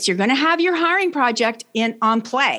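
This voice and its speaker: A woman with a Canadian accent has an unremarkable speaking voice. She talks at a moderate pace with lively intonation. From Canada. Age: 60s. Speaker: leadership coach. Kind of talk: interview.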